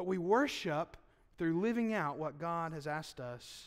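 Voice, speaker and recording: Against a quiet background, a man with a Southern US accent talks at a fairly slow pace, his fairly high pitch carried by lively intonation. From US South. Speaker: pastor. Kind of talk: sermon. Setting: church. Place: church. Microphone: podium.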